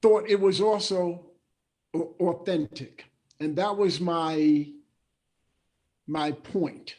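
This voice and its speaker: With a New York accent, a man speaks at a very slow pace in a high pitch, leaving long, frequent pauses, with ordinary pitch variation. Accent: New York American English. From New Rochelle, New York, USA. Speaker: former professional basketball player, memoir author. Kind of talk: interview answer.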